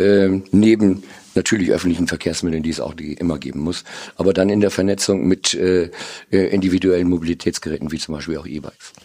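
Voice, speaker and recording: This man has a very deep, low voice with a dark, mellow tone. He talks at a fairly quick pace with fairly even intonation. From northern Germany (Lower Saxony). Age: 50s. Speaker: marketing executive. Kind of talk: interview. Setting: studio. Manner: hesitant with fillers.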